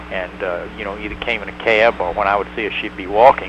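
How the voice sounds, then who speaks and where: Talking very fast in a Tennessee accent, a man with a fairly low pitch swings very widely in pitch against noticeable background noise. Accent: Southern US (Tennessee). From US South, Tennessee (rural). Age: 60s. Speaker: former hospital doctor in Hong Kong. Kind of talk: interview.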